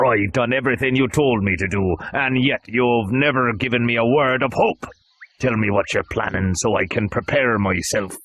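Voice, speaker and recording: A man's put-on character voice, medium in pitch, at a moderate pace. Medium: read story. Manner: forceful, calculating.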